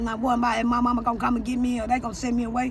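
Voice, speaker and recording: A woman with an American accent, high-pitched and flat, monotone at a very fast pace, with audible room echo and noticeable background noise. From St. Louis, Missouri. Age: 60s. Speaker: interviewee, former street hustler. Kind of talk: street interview, personal testimony.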